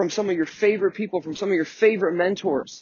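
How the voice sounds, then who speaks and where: This man has a high voice with ordinary pitch variation. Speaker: business coach. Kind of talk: motivational podcast monologue. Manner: fast; animated.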